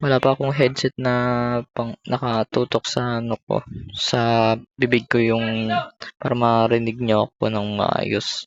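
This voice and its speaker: Here is a soft-spoken voice. Its delivery runs at a fairly slow pace. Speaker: gaming streamer. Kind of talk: gameplay commentary. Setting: at home. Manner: soft-spoken, quiet; halting, many fillers.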